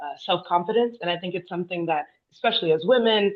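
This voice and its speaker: A woman with an American accent talks at a fairly quick pace in an ordinary speaking voice, her pitch varying in an ordinary way. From United States. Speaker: panel speaker. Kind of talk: panel discussion.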